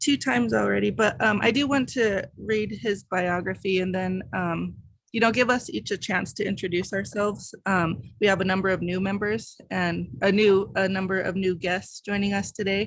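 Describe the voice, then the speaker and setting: A woman with an American accent and a medium pitch uses a plain, everyday voice with ordinary pitch variation and hardly any pauses. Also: moderate pace. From Denver, Colorado. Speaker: professor and writing society board member. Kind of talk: virtual meeting introductions. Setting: video call. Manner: many filler words (um).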